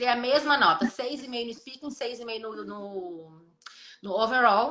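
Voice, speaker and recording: The voice belongs to a woman and sits high in pitch. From Brazil, Espírito Santo. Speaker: nurse. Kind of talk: interview on a live stream. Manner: fast; swallows words.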